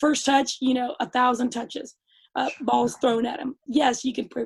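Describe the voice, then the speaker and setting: A woman speaks loudly in a high voice. Her pace is moderate and her intonation fairly even. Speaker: youth soccer coach. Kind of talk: interview.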